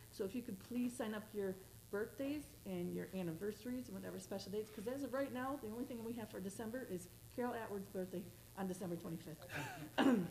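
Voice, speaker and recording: Very fast, lively-intoned speech against noticeable background noise. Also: woman, medium pitch for a woman. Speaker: church worship leader. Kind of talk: church announcements. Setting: church.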